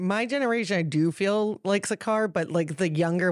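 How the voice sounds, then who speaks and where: A woman speaks with a Canadian accent in a normal speaking voice, at a moderate pace with ordinary pitch variation, in a very clean recording with a silent background. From New Westminster, British Columbia, Canada. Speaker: podcast co-host. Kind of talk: casual chat. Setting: studio.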